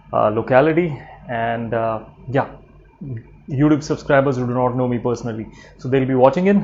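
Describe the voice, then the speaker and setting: A man with an Indian accent talks at a fairly quick pace with ordinary pitch variation. He takes long, frequent pauses. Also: medium pitch for a man. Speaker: vlogger. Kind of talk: personal vlog. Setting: at home, late evening. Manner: quiet, low-key; hesitant, many fillers.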